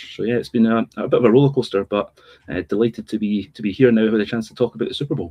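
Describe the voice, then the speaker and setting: Talking at a very fast pace with a Scottish accent, a man keeps a medium pitch and fairly even intonation. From Scotland. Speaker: sports journalist and podcaster. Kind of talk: casual chat.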